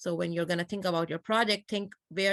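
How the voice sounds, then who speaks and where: Her voice is fairly low in pitch, with a non-native accent and fairly even intonation. The sound of this woman is dry and close, with no echo. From Pakistan. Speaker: computer science lecturer. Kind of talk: lecture.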